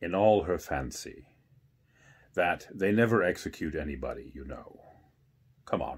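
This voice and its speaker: In a put-on character voice with a very deep, low pitch, a man talks at a moderate pace with long, frequent pauses on a very clean recording with a silent background. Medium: read story. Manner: colloquial, ungrammatical.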